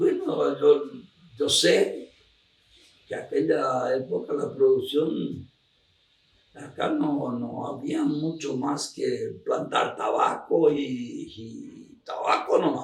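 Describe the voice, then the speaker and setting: The man speaks very slowly. His volume rises and falls by wide margins. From Argentina, Misiones. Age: 80s+. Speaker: elderly farmer recounting local history. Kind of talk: oral history interview. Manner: halting, with repetitions.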